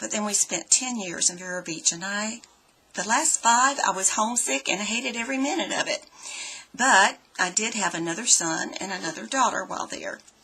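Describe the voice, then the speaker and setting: A woman at a moderate pace with lively intonation, over noticeable background noise. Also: medium pitch for a woman. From Florida. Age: 60s. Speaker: student. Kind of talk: personal self-introduction. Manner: hesitant, with fillers.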